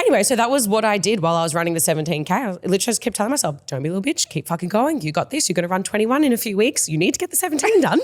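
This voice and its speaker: Speaking at a very fast pace with hardly any pauses, a woman with an Australian accent and a medium pitch swings her pitch very widely. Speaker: podcast co-host and mindset coach. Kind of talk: casual chat. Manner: animated.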